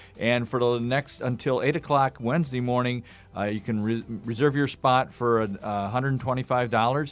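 Here a man speaks at a moderate pace in a medium pitch. His intonation stays fairly even. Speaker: charity events director. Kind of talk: radio interview. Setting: studio. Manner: halting, many fillers.

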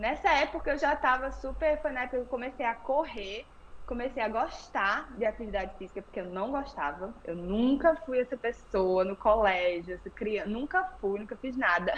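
Noticeable background noise sits under a woman's high-pitched voice. She keeps a moderate pace with lively intonation and hardly any pauses. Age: 20s. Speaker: yoga instructor. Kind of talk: interview.

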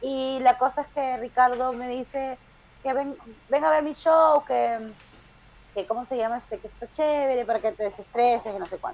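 A woman's high voice at a moderate pace, ordinary pitch variation and big swings in loudness. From Peru. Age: 30s. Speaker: stand-up comedian. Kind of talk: casual chat.

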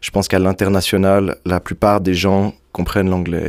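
A man speaks in a very deep, low voice. His pace is moderate. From French-speaking Switzerland, Montreux area. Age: 20s. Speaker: singer. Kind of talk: interview. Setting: studio.

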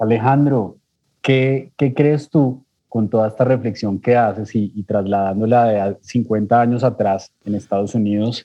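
A man talks at a fairly slow pace in an unremarkable speaking voice, medium in pitch with fairly even intonation. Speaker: podcast host. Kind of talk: podcast interview.

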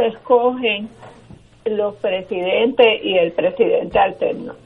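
A very slow female voice beneath noticeable background noise. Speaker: political panelist. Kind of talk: political panel discussion. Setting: phone call.

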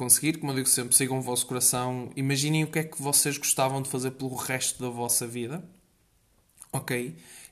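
A man's medium-pitched voice in a European Portuguese accent, with ordinary pitch variation. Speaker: podcast host. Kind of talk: casual solo monologue. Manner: energetic; halting.

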